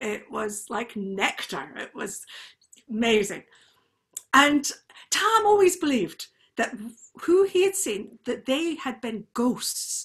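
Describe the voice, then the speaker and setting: A woman with lively intonation at a very slow pace, in a quiet background. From Scotland. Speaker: storyteller. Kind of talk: storytelling. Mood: animated, cheerful. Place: home room.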